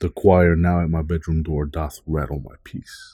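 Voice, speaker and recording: A solemn, theatrical, dark and mellow monotone at a moderate pace, dry and close with no echo, on a very clean recording with a silent background. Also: man. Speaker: poet and podcast host. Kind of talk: poetry reading, dramatic and gothic, read aloud from his own written poem. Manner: solemn, brooding, measured and theatrical.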